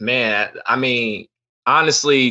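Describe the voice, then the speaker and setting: A bright, sharp voice with a New York accent comes through over a quiet background. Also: man. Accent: New York (Bronx) English. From New York City, South Bronx. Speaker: options trader and teacher. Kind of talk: casual chat.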